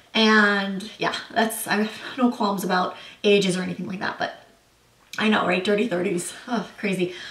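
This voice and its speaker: With audible room echo and noticeable background noise, a woman talks in fairly even intonation. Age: 30s. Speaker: beauty and lifestyle vlogger. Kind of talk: casual Q&A vlog. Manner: casual, many filler words.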